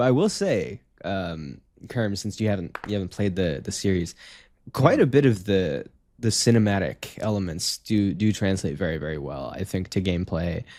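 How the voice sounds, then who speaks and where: A man with a slight Canadian accent speaks at a moderate pace in a fairly low pitch with lively intonation, on a very clean recording with a silent background. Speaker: gaming podcast co-host. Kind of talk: casual chat.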